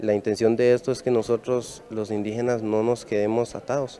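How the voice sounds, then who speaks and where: A man speaks in a flat monotone, his dry, echo-free voice set against light background noise. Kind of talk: interview. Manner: halting. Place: hall. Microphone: handheld.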